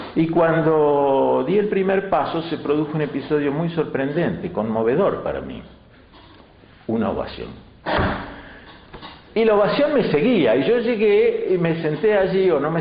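The speech moves at a moderate pace, with audible room echo and light background noise. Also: man. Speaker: interviewee. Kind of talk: interview answer. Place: meeting room.

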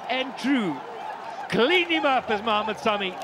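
Someone speaks at a very slow pace over crowd noise in the background. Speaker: cricket commentator. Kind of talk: live sports commentary. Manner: excitable, loud, whooping and exclaiming on wickets.

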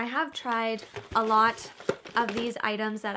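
A woman's voice has a bright, sharp tone. Light background noise sits behind it. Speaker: beauty vlogger. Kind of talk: casual product review chat. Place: home room.

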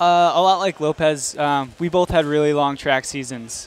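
At a moderate pace, a man speaks with fairly even intonation in a dry sound with no echo. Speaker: guest. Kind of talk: interview answer. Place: hall. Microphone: headset.

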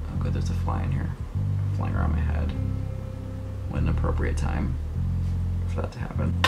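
Clear music plays behind a man who speaks at a fairly quick pace. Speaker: makeup creator. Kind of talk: casual tutorial chat. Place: home room. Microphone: webcam.

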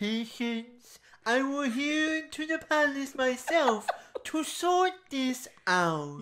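Speaking very slowly, a woman puts on a character voice pitched high. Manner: strained, stiff, pompous.

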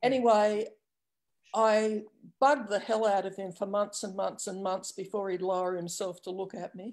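A woman with an Australian accent, fairly even intonation, big swings in loudness, and a quiet background. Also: medium pitch for a woman, moderate pace. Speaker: dog training student. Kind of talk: casual chat. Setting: video call. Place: home room. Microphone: video call.

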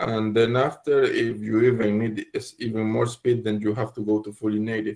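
Against a quiet background, a man speaks at a moderate pace in monotone, flat intonation. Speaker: meetup attendee. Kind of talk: Q&A; discussion answer. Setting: video call. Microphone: video call.

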